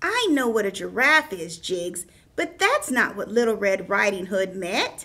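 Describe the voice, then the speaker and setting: A woman performs a cartoonish character voice at a medium pitch. Her pace is moderate. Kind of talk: children's puppet show storytelling.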